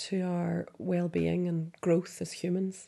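A woman with a Derry accent speaks at a very slow pace. Her voice sits at a medium pitch with a dark, mellow tone. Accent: Northern Irish (Derry). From Northern Ireland, Derry. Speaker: poet and doctor. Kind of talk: poetry prompt introduction; poetry reading.

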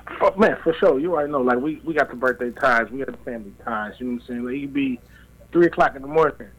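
Talking at a very fast pace, a man has a medium pitch, ordinary pitch variation and big swings in loudness. Noticeable background noise can be heard. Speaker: caller. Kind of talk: casual chat.

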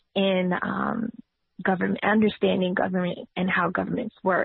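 A woman with a New York accent. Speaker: political candidate and nurse. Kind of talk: interview.

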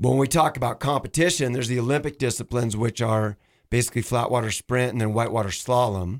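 Recorded very cleanly and dry and close with no echo against a silent background, a man with a normal speaking voice and an American accent talks fairly quickly at medium pitch with fairly even intonation. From Washington State. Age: 50s. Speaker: kayak shop owner and paddling coach. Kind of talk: casual radio interview. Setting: radio studio.

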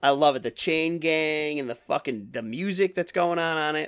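Lively intonation marks a normal speaking voice. The pace is moderate. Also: man, very clean recording, silent background. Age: 30s. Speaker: podcast host. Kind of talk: casual chat.

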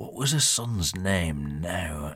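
A man puts on a character voice, low-pitched with a slightly husky edge and a fairly bright tone, speaking slowly with lively intonation on a very clean recording with a silent background.

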